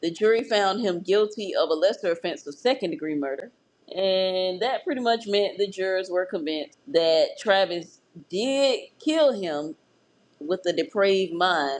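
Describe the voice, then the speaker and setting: An ordinary speaking voice from a woman with an American accent, medium in pitch, lively in intonation and moderate in pace. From Florida. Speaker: true crime podcast host. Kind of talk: true crime podcast narration with casual chat.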